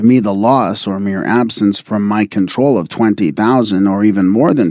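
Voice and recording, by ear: The words are read out loud. The delivery sounds natural.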